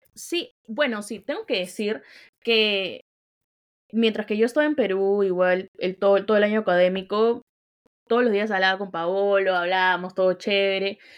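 A woman speaks at a medium pitch. Her pace is moderate, with ordinary pitch variation. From Peru, outside Lima. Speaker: podcast co-host. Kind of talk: casual chat.

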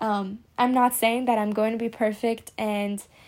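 On a very clean recording with a silent background, a woman with a fairly high pitch speaks at a moderate pace with fairly even intonation. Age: 20s. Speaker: podcast host, psychology student. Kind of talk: casual solo monologue. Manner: chatty, with frequent fillers and laughs.

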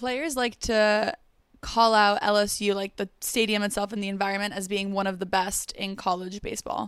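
This woman has a plain, everyday voice, with a medium pitch, ordinary pitch variation and a moderate pace. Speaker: podcast host. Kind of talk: interview.

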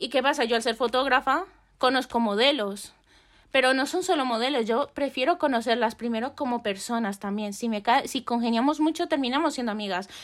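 A woman talks at a fairly quick pace in a high voice with ordinary pitch variation. The recording is very clean, and the background is silent. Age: 20s. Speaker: photographer. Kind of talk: casual chat.

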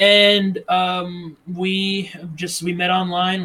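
The man speaks in a high voice. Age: 20s. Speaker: podcast co-host. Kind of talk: casual chat. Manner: animated.

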